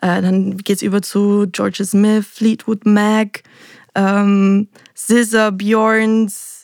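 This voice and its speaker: A woman speaks very slowly in a flat monotone at very even loudness, with a dry, close sound and no echo. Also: medium pitch for a woman. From Austria, Salzburg. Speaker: singer-songwriter. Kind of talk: interview.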